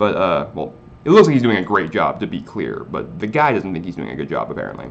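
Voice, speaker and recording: A man speaks at a very fast pace with an animated tone and big swings in loudness. Room echo is audible. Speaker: manga review youtuber. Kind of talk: casual video review.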